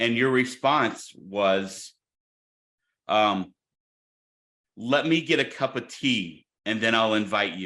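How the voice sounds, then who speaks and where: A loud man's medium-pitched voice with an American accent, bright and sharp in tone, very slow, with long, frequent pauses and ordinary pitch variation. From Illinois, St. Louis area. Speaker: podcast co-host. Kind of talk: casual chat.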